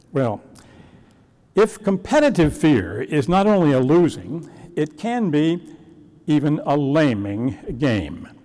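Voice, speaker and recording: A man speaks at a very slow pace with long, frequent pauses and a dark, mellow tone. His pitch is fairly high with very wide swings, against a quiet background. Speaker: minister. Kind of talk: sermon. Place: church. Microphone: lapel.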